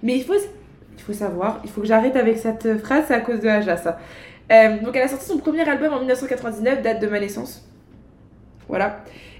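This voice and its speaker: Long, frequent pauses break up a woman's fairly quick speech, which has ordinary pitch variation. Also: fairly high pitch for a woman. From Paris, France (19th arrondissement). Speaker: podcast host. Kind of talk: casual chat. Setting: home recording.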